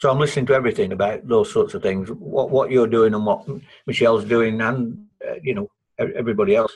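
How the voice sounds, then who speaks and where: Somewhat breathy and at a medium pitch, a man talks at a very fast pace with very wide pitch swings. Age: 60s. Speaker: participant in an online economics discussion. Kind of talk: group discussion. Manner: halting, many repetitions and false starts.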